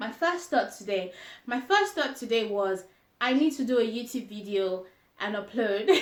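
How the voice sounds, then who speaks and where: At a moderate pace, a woman with a Yoruba accent speaks at a fairly high pitch with lively intonation. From Nigeria (grew up in Jos). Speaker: lifestyle vlogger. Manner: hesitant with fillers.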